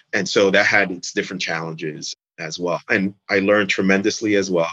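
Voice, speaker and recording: A man with an American accent has a normal speaking voice at a fairly low pitch and talks at a fairly quick pace. The sound is dry and close with no echo, over a quiet background. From New York City, Manhattan Upper West Side. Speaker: media sales executive. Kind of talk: interview.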